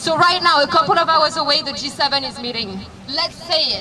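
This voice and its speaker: Over music in the background, a woman uses a raised, projected voice, high-pitched with lively intonation at a moderate pace. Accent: French. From France. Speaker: activist, rally speaker. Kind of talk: rally speech. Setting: outdoors at a rally.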